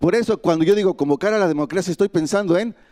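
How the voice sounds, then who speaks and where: A man speaks with a Mexican accent. His pitch sits high. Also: dry, close sound with no echo, very clean recording, silent background. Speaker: migrant activist. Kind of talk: panel speech.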